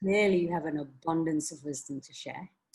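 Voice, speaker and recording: A woman's somewhat breathy voice at a very fast pace, with ordinary pitch variation, on a very clean recording with a silent background. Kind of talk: casual interview host.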